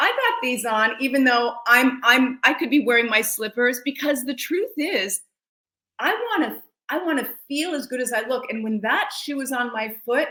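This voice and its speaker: A raised, projected woman's voice, high in pitch with a bright, sharp tone, ordinary pitch variation, and a moderate pace. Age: 60s. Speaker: celebrity wardrobe stylist and lifestyle coach. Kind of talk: interview. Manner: animated.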